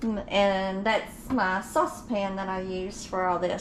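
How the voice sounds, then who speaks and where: A woman with a strong Georgia accent is heard with audible room echo and noticeable background noise. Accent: Southern (Georgia), strong. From Georgia, US South. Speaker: home cooking vlogger. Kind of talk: casual cooking tutorial. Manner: casual, chatty.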